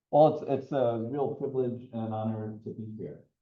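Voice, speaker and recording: A man speaks with an American accent at a fairly low pitch. Room echo is audible. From US Midwest. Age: 60s. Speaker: environmental educator. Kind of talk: lecture.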